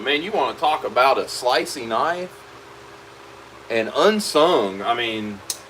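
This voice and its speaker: A man speaks loudly at a fairly high pitch, with very wide pitch swings and long, frequent pauses. Background noise is noticeable. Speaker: leatherworker. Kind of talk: live stream chat while working. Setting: workshop. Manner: casual, relaxed.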